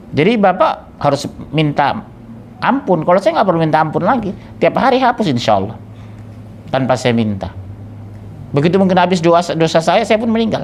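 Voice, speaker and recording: A man's high-pitched voice with very wide pitch swings, very even loudness and long, frequent pauses. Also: fairly quick pace. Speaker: Islamic preacher. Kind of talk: sermon. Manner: conversational, engages audience.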